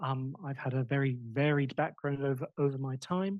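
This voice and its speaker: Fairly fast speech comes in a somewhat breathy voice. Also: man. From Australia. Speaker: academic examiner. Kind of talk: doctoral defense examination. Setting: audience in room. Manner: animated.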